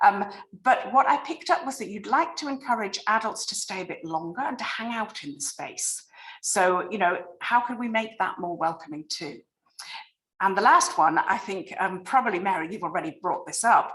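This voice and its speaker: With a British accent, a woman speaks at a moderate pace, her pitch swinging very widely. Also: fairly high pitch for a woman, big swings in loudness. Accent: non-American, British. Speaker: library design consultant. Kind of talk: presentation on video call.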